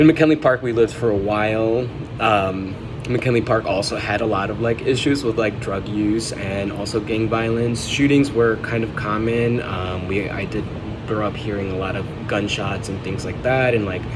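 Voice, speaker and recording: A moderate pace and fairly even intonation, with audible room echo and noticeable background noise. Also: man, medium pitch for a man. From Chicago, US. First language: Spanish. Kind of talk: personal vlog journal entry. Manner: halting, many fillers.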